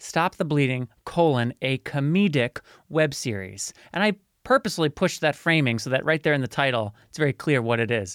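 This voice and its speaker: A man with an ordinary speaking voice talks at a moderate pace, his fairly high pitch moving in lively intonation, in a dry, close sound with no echo on a very clean recording with a silent background. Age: 30s. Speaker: podcaster and media producer with haemophilia. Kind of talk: interview.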